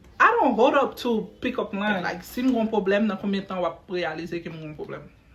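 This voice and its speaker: At a fairly quick pace, a woman speaks at medium pitch with ordinary pitch variation and big swings in loudness over noticeable background noise. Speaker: podcast host. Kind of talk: casual chat. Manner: loud when upset.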